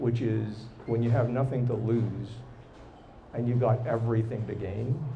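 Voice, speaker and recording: A man speaks at a medium pitch and a moderate pace, with long, frequent pauses and monotone, flat intonation. His voice is somewhat breathy with a dark, mellow tone, and room echo is audible. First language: not English or French. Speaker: tech executive and entrepreneur. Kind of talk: live podcast interview. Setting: live recording with audience.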